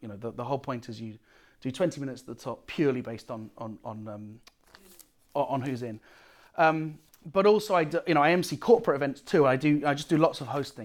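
Talking at a very fast pace with a British accent, a man with a fairly high pitch uses lively intonation. His loudness swings a lot, and the recording is very clean with a silent background. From Britain. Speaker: comedian and workshop teacher. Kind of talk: workshop lecture.

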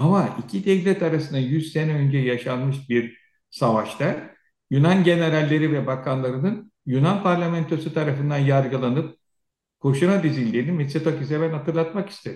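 This man's voice is fairly high-pitched and somewhat breathy. He talks at a moderate pace with ordinary pitch variation. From Turkey, Aegean region (Söke). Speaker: retired air force officer and security analyst. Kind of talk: interview. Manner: animated.

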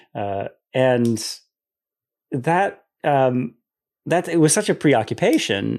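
A man with an American accent at a medium pitch, lively intonation, a very slow pace with long, frequent pauses, and a quiet background. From US Midwest, southeast Michigan. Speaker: theology professor. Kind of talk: interview.

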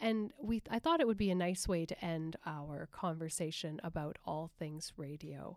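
A woman with a Canadian accent has an unremarkable speaking voice, fairly low in pitch, with ordinary pitch variation. She talks fairly slowly on a very clean recording with a silent background. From Alberta, Canada. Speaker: community radio host and producer. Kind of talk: casual radio conversation. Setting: radio booth in a library.

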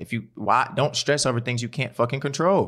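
On a very clean recording with a silent background, a man at medium pitch speaks with ordinary pitch variation. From West Baltimore, Maryland. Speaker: podcast host, former junior college football player. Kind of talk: casual chat.

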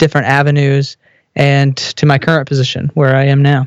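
The sound is dry and close with no echo as a man with an American accent speaks in a fairly high pitch. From Texas. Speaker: business consultant and theologian. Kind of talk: casual interview.

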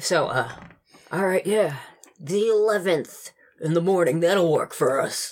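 This is a raspy, put-on character voice at middle pitch. It moves at a fairly slow pace. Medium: actual play. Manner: confident, persuasive.

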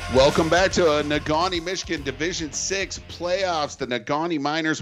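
A man with a plain, everyday voice speaks at a moderate pace, his pitch varying in an ordinary way. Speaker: radio play-by-play announcer. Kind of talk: live radio sports commentary, play-by-play calling with rallying calls to listeners. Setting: high school football stadium broadcast on radio, humid misty night. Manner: warm, encouraging, addresses listeners directly.

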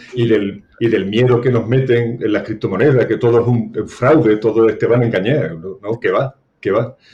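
A man with an Andalusian accent speaks at a medium pitch. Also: fairly even intonation, moderate pace. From Seville, Andalusia, Spain. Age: 60s. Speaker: retired banker. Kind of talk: interview.

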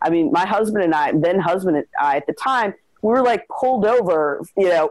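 A woman speaks with an American accent at a fairly quick pace. Her pitch is fairly low. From Chicago, US Midwest. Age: middle-aged. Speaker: writer and civil rights organization director. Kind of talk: interview conversation.

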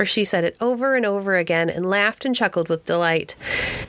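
The reading here is in an unforced voice.

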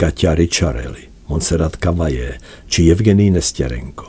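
With lively intonation, the delivery unfolds at a fairly slow pace. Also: man. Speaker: music journalist. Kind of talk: scripted narration.

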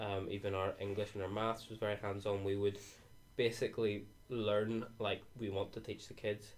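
A man speaks in a Northern Irish accent at a moderate pace. His voice is fairly low and monotone, with flat intonation. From Northern Ireland. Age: 20s. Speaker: university student. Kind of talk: casual chat.

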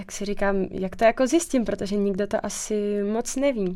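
With a plain, everyday voice, a woman speaks at a medium pitch and a moderate pace. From Czech Republic, Krkonoše. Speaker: dental student. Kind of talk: interview.

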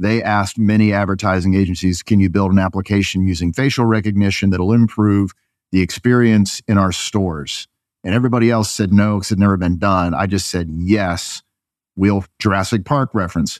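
A man talks with an American accent in an unremarkable speaking voice, at a fairly low pitch. His pace is fairly quick, his intonation fairly even, and the background is quiet. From upstate New York. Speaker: advertising agency executive. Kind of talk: casual interview.

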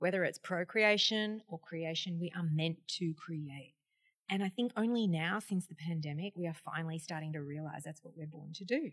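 The voice carries an Australian accent and sounds somewhat breathy. Its loudness swings widely. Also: woman, fairly low pitch for a woman, ordinary pitch variation, moderate pace. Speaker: podcast host, wellness presenter. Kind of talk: interview. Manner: animated.

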